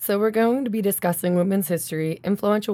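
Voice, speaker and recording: An ordinary speaking voice with an American accent, fairly quick and fairly even in intonation, on a very clean recording with a silent background. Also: woman. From South Jersey, Philadelphia area. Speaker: podcast host, artist. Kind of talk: casual chat.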